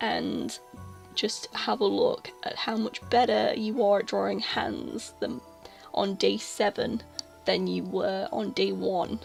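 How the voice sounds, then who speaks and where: Music in the background beneath a woman's very slow delivery. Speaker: artist. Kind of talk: casual voiceover over drawing timelapse. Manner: stutters.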